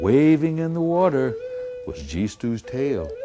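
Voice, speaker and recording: With music in the background, a man delivers his words at a very slow pace. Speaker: traditional storyteller. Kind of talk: storytelling to an audience.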